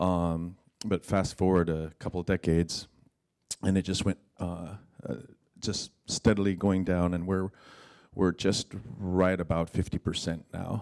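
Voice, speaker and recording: In an Alaskan accent, a man speaks at a fairly slow pace with long, frequent pauses, his very deep, low voice in a monotone, flat intonation. The recording is very clean and dry, close with no echo, over a silent background. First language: Yupik. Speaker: dancer and teacher. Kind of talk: speech at fellows gathering. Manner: halting.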